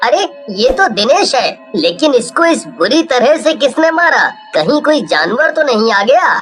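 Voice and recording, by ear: Clear music plays in the background. Over it, a cartoonish character voice speaks at a moderate pace.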